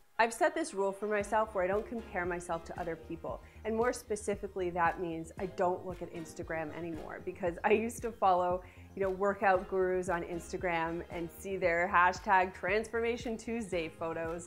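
Faint music plays in the background as the speaker talks with hardly any pauses and fairly even intonation. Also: woman, fairly quick pace. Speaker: lifestyle vlogger. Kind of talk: tips video talk to camera. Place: studio.

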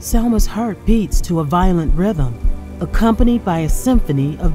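A woman talks at a fairly slow pace with lively intonation. Music plays in the background. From United States. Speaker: voice actor. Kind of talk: dramatic book trailer narration.

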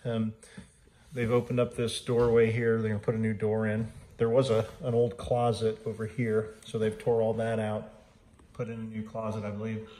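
Amid audible room echo, a man speaks in a monotone, flat intonation at a fairly low pitch and moderate pace, his tone dark and mellow.

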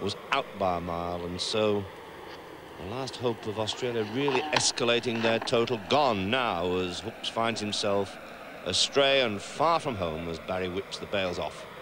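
A man talks at a moderate speed in a fairly low voice, his pitch shifting in an ordinary way while noticeable noise sounds behind him. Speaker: cricket commentator. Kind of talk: live commentary. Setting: commentary box at the ground. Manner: animated.

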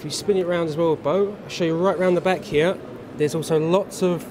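A man's high voice at a fairly quick pace, with ordinary pitch variation and noticeable background noise. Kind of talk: product demonstration to a child. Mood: friendly, upbeat. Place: hall. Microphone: phone near.

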